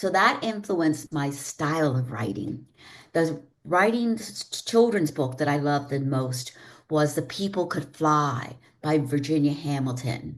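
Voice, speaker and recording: A woman's very deep, low voice with an American accent, lively intonation and a fairly slow pace against a quiet background. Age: 70s. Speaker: children's book author. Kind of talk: interview.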